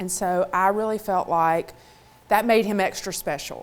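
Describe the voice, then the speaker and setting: A woman speaks in a Mississippi accent at a moderate pace. Her pitch is medium, with ordinary pitch variation. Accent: Southern (Mississippi). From Mississippi, US South. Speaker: motivational speaker. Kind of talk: keynote talk.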